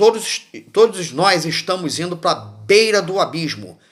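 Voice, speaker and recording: A man's high-pitched voice at a very slow pace, in a very clean recording with a silent background. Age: 60s. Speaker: former military, political commentator. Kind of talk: political monologue. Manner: halting, many repetitions and fillers; impassioned.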